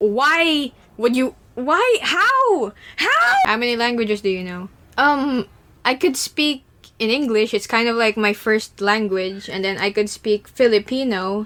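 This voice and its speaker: A woman's fairly high, bright, sharp voice with lively intonation at a fairly slow pace. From Philippines. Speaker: animator YouTuber. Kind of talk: Q&A chat. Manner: casual, animated.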